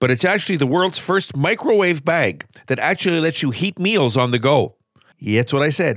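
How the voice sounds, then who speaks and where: Very wide pitch swings, an upbeat tone and vocal fry, in a very clean recording with a silent background. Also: man. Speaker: radio host. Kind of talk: radio DJ patter between songs. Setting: radio studio. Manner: smooth, upbeat, conversational; chatty, lightly joking, laughs while talking.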